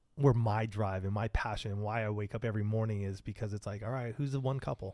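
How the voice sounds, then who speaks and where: On a very clean recording with a silent background, a man with a plain, everyday voice and an American accent talks at a moderate pace and medium pitch with fairly even intonation. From Southern California. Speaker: marriage podcaster. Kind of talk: casual interview.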